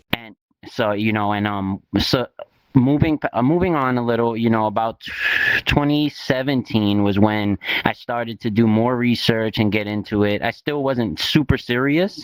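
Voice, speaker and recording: Recorded with a dry, close sound and no echo, a man speaks at a medium pitch with a New York accent. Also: ordinary pitch variation, moderate pace. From New York City (East New York, Brooklyn). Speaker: crypto investor and instructor. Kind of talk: casual interview. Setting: virtual reality talk show.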